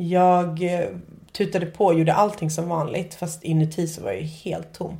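Delivered at a moderate pace, the somewhat breathy voice has a dark, mellow tone and fairly even intonation. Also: woman. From Nacka, Stockholm, Sweden. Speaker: podcast host. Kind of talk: casual chat.

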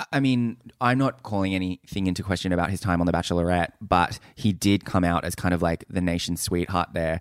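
In a very clean recording with a silent background, a man with an Australian accent speaks at a fairly quick pace in a very deep, low voice with ordinary pitch variation. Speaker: podcast co-host. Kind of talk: casual chat. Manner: loud.

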